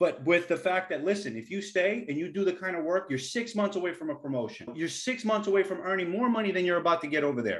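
A high-voiced man with an American accent talks at a very fast pace, with hardly any pauses. His intonation is lively, and the background is quiet. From US Northeast, the Bronx, New York City. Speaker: engineer, former big tech engineering leader; podcast host. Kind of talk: casual chat. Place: home room. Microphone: webcam.

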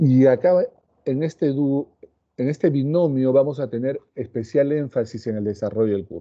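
With a quiet background, a man speaks at a moderate pace, his pitch shifting in an ordinary way. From Peru. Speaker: cardiologist and pharmacology professor; pharmacology professor. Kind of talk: lecture. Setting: online class video call. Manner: formal. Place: home room. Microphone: earbuds.

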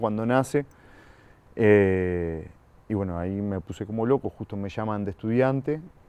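A man speaks at a fairly slow pace with ordinary pitch variation, his voice dry and free of echo. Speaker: interview guest. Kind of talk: interview answer. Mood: relaxed storytelling. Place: garden. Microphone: lapel.

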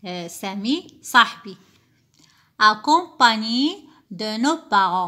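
A woman talks at a very slow pace, with long, frequent pauses. Her fairly high voice has a bright, sharp tone and very wide pitch swings. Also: very clean recording, silent background. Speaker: teacher. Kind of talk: tutorial.

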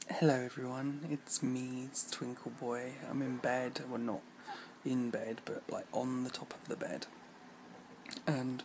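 Noticeable background noise sits behind a man who speaks at a fairly slow pace with monotone, flat intonation. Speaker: vlogger. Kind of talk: casual vlog chat. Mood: annoyed in part. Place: home room. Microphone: phone near.

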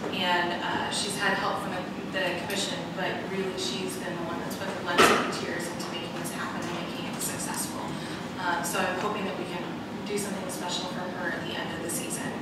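A woman at a very fast pace, with loud background noise and audible room echo. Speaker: city official giving report. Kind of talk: formal meeting report. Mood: pleased, appreciative. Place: hall.

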